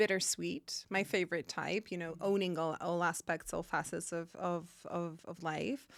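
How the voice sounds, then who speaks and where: With a Polish accent, a woman speaks at a moderate pace with hardly any pauses, a fairly low pitch and fairly even intonation, on a very clean recording with a silent background. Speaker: film journalist. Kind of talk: interview.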